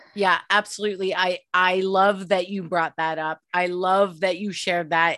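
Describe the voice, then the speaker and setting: On a very clean recording with a silent background, a woman speaks at a fairly slow pace and medium pitch in a plain, everyday voice. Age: 30s. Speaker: podcast host. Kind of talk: interview conversation.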